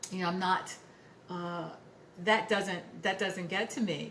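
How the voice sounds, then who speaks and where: A woman speaks at a medium pitch with fairly even intonation. Room echo is audible. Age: 60s. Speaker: lifestyle vlogger, retired finance worker. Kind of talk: casual vlog talk to camera. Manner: halting, many fillers and repetitions.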